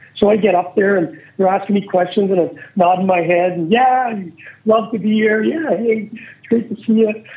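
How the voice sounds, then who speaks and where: In a Manitoban accent, a man speaks at a moderate pace with a high pitch and ordinary pitch variation. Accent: Canadian (Manitoba). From Canada, Winnipeg. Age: 50s. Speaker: former pro hockey player, podcast host. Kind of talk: casual interview storytelling. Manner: animated.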